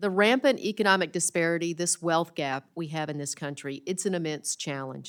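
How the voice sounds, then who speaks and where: In a Southern US accent, a woman speaks at a moderate pace in a fairly low voice with ordinary pitch variation, on a very clean recording with a silent background. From rural Arkansas. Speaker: congresswoman. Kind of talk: committee hearing statement.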